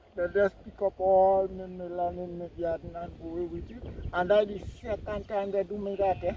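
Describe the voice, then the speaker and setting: This man's voice sits high in pitch for a man, with a Grenadian accent and a monotone, flat intonation. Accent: Grenadian Creole English. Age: 60s. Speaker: farmer. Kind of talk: interview.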